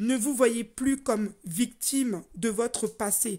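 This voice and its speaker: Somewhat breathy speech with fairly even intonation sits in a very clean recording with a silent background. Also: woman. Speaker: life coach. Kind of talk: motivational talk. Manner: deliberately slowed down.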